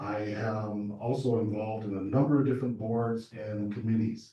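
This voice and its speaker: A man speaks with an American accent and a somewhat breathy voice. His intonation stays fairly even. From Southern California. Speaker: political candidate. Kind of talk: candidate forum speech. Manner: hesitant with many fillers.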